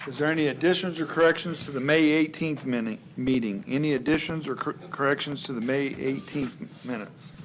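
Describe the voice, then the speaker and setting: Over noticeable background noise, a man with a fairly high voice speaks at a fairly quick pace with ordinary pitch variation and hardly any pauses. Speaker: board chair. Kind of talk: public meeting chairing. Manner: loud.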